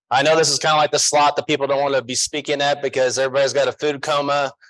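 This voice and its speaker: Very fast and monotone, with flat intonation, the voice has an American accent and a dry, close sound with no echo. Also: man. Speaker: tax strategist, conference speaker. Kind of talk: conference talk. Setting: stage with audience. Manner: casual, joking.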